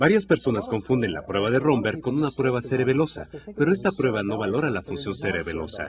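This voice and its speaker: The voice swings very widely in pitch and sounds somewhat breathy. It moves at a moderate pace. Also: man. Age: 60s. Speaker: physician demonstrating a neurological exam. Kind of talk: clinical teaching demonstration.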